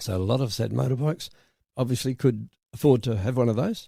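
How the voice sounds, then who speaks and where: Speaking with an Australian accent, a man keeps to a medium pitch with ordinary pitch variation. The recording is very clean, with a silent background. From South Australia. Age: 80s+. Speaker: retired insurance broker. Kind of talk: interview answer.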